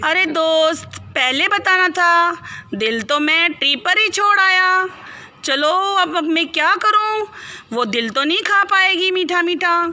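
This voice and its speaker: A woman uses a put-on character voice pitched extremely high, speaking at a fairly slow pace over light background noise. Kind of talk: children's storytelling. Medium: read story. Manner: cheerful, then indignant.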